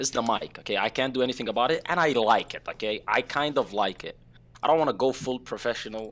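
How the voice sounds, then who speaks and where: On a very clean recording with a silent background, a man uses ordinary pitch variation at a very fast pace. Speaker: streamer. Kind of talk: casual chat. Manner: loud.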